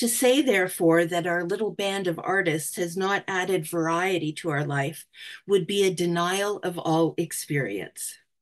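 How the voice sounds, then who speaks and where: A woman with a Canadian accent and an unremarkable speaking voice talks at a moderate pace with a fairly low pitch and ordinary pitch variation against a quiet background. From Canada. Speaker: museum curator and historian; guest lecturer. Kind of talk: presentation. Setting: video call. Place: home room. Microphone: webcam.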